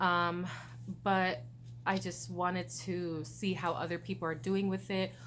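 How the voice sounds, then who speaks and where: A woman's fairly low voice with vocal fry, at a fairly slow pace, with audible room echo. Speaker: vlogger. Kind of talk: casual chat. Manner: slurred speech; hesitant, many fillers.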